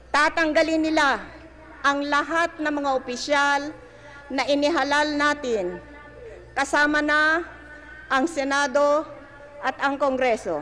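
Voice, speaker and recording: A woman uses a raised, projected voice at a high pitch with very even loudness. She speaks at a very slow pace with long, frequent pauses, and there is noticeable background noise. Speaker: president giving a public speech. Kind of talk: political rally speech.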